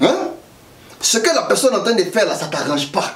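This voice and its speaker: An animated voice with an Ivorian accent and very wide pitch swings, plus audible room echo and noticeable background noise. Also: man. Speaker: political commentator vlogger. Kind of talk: political commentary vlog. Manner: animated, colloquial.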